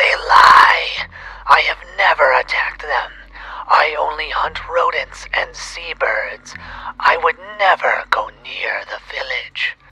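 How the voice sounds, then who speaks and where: A put-on character voice speaks in a whisper. The pace is fairly slow. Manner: defensive, protesting.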